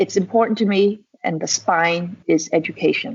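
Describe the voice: A woman speaks at a moderate pace with fairly low pitch and ordinary pitch variation. Her voice has a slightly husky edge and some vocal fry.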